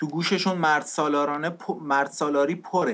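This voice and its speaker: A normal speaking voice from a man, fairly high in pitch, at a moderate pace with ordinary pitch variation over a quiet background. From Iran. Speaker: refugee sharing life story. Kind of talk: testimony.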